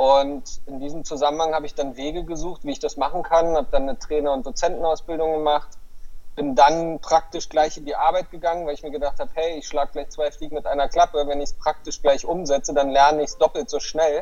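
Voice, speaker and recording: A man's fairly high-pitched voice at a very fast pace, with big swings in loudness and fairly even intonation. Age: 40s. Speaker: life coach. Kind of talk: interview.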